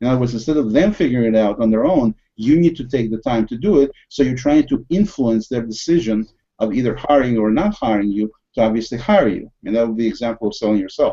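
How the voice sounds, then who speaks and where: This man talks at a very fast pace in a Russian accent. His pitch is medium. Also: ordinary pitch variation. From USSR. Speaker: podcast host. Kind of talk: casual discussion. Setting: video call.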